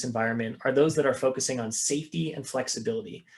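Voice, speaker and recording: At a very fast pace, a man talks with lively intonation and a fairly high pitch. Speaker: investment strategist presenter. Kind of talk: webinar presentation. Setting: video call.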